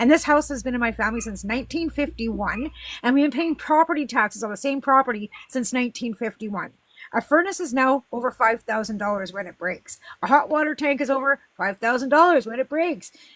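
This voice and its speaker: With a western Canadian accent, a woman speaks high in pitch at a fairly quick pace. Her tone is animated and her intonation lively. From western Canada. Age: 50s. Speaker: political livestream host. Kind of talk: heated debate.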